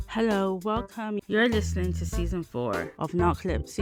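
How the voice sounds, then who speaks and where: A woman talks at a moderate speed while music plays in the background. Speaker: podcast host and founder of a community interest company. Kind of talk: podcast intro.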